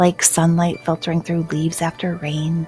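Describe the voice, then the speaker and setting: Music plays behind a woman speaking at a very slow pace. Her voice is fairly low, with a soothing, gentle tone and fairly even intonation. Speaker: hypnotherapist, life coach. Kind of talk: guided hypnosis meditation. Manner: soothing, slow, gentle.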